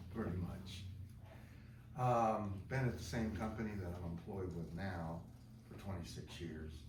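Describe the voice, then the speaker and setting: A fairly slow pace with long, frequent pauses and ordinary pitch variation, plus audible room echo and noticeable background noise. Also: man. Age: 70s. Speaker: applicant for vacant town board seat. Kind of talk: public comment at town meeting.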